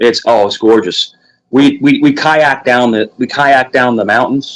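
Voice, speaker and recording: With a Virginia accent, a man speaks at a medium pitch and a fairly slow pace. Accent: Virginian. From New York (Queens). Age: 40s. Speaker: livestream host. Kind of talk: casual chat. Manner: animated.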